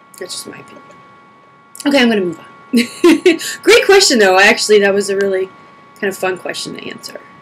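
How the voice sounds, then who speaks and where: Talking at a very fast pace with long, frequent pauses, a woman with a medium-pitched voice and ordinary pitch variation swings widely in loudness over noticeable background noise. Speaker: video blogger. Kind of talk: casual q&a vlog. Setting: home video recording, camera on pedestal. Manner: huffing and puffing.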